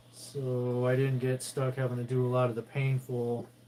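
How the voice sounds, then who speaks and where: A man talks at a medium pitch in a calm, dark, mellow tone. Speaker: livestream host, military veteran. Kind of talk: casual livestream chat while ironing. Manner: calm monotone.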